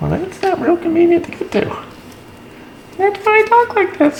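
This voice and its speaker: A put-on character voice, extremely high-pitched and squeaky, goes along at a moderate pace over light background noise. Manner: playful.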